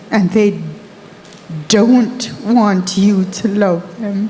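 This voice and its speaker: Medium in pitch, a woman speaks with fairly even intonation. Audible room echo and noticeable background noise surround her voice. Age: 60s. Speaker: audience member asking a question. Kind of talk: audience question at a conference. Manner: hesitant, with fillers.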